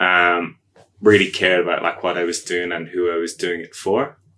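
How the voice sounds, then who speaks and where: Here a man talks with an Irish accent. His tone is bright and sharp. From Ireland. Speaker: agile coach. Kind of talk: podcast interview. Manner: hesitant, many fillers.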